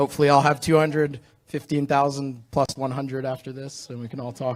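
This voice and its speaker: With an American accent, a man talks fairly quickly in a flat, monotone delivery. His fairly high voice swings a lot in loudness. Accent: American-sounding. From Australia, expatriate family abroad. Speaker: travel photographer. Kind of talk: panel discussion.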